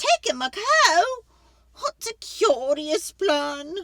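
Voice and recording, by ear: Slowly and in a put-on character voice, a woman speaks high-pitched with big pitch swings and a bright, sharp tone.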